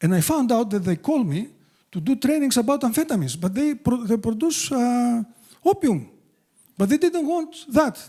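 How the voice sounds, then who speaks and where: At a moderate pace, the voice carries a strong Greek accent, very wide pitch swings and a dark, mellow tone. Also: man, extremely high pitch for a man. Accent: thick Greek. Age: 60s. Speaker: addiction treatment expert. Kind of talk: public talk. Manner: halting.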